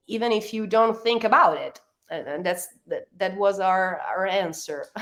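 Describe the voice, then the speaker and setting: At a moderate pace, a woman with an Italian accent speaks at a medium pitch with ordinary pitch variation. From Italy. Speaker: rock band member. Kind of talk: interview. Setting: radio interview, late at night for guest. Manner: halting, many fillers and restarts.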